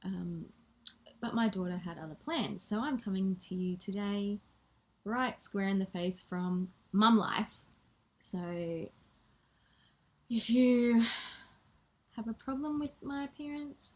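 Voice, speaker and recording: A woman with an Australian accent speaks very slowly at a medium pitch, with lively intonation. Her voice is somewhat breathy, with long, frequent pauses. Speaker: spiritual coach. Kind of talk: vlog talk to camera. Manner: soft-spoken; reading from notes.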